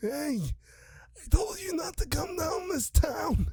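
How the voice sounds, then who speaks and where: In a put-on character voice, the speaker drags along at a very slow pace. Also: man, extremely high pitch for a man. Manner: menacing, threatening.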